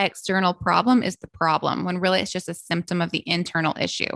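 A woman's medium-pitched voice with a Southern US accent, dry and close with no echo, against a quiet background. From US South, Memphis, Tennessee. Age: 30s. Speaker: health coach. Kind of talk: casual chat.

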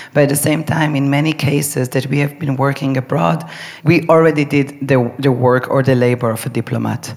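A woman speaks at a fairly quick pace with a very deep, low pitch and fairly even intonation. Noticeable background noise is present. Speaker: choreographer. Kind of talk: live panel discussion.

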